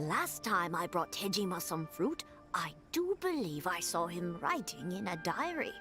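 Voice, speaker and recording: A put-on character voice, female-sounding, at a moderate pace over clear background music. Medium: game stream. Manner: polite, gentle.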